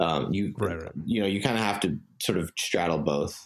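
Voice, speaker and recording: This man uses vocal fry and lively intonation while talking at a fairly quick pace. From Singapore. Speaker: startup founder. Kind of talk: casual interview. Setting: call.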